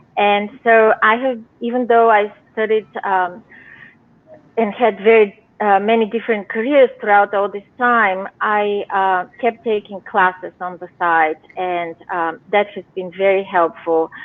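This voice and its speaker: Speaking with a Bulgarian accent, a woman talks at a fairly slow pace with fairly even intonation. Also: medium pitch for a woman. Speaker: novelist. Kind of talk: interview. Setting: live video show. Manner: hesitant, many fillers.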